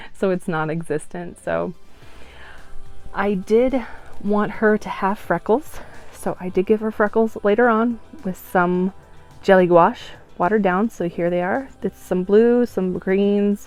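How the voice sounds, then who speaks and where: Soft-spoken, a woman talks at a fairly slow pace in a medium pitch with ordinary pitch variation and long, frequent pauses. Music plays in the background. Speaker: doll artist. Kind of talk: tutorial.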